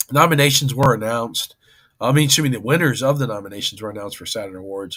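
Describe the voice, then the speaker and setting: With lively intonation and vocal fry, a man talks at a medium pitch. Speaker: entertainment news livestream host. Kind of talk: casual livestream chat. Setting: hotel room livestream. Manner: animated.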